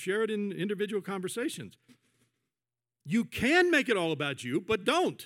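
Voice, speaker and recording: On a very clean recording with a silent background, a man speaks at a moderate pace in a high pitch. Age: 60s. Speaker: pastor. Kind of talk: sermon. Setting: church. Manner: conversational, with fillers and self-corrections.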